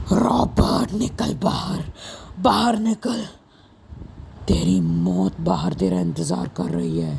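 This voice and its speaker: Raspy and in a put-on character voice, a man speaks at a very slow pace. He leaves long, frequent pauses. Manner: angry, shouting.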